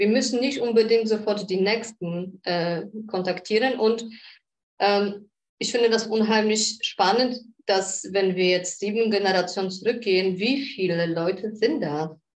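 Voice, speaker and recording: With a Polish accent, a woman talks at a fairly slow pace. Her pitch is medium. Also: ordinary pitch variation. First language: Polish (speaking German). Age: 40s. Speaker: shaman. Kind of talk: interview conversation.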